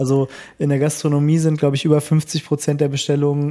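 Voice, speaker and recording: His dark, mellow tone sits at a fairly high pitch for a man, delivered with monotone, flat intonation. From Bonn, Germany. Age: 30s. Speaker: coffee roaster and barista. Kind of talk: casual interview.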